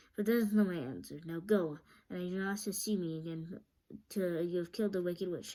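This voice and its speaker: A woman puts on a booming character voice at medium pitch. She talks at a fairly quick pace. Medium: read story.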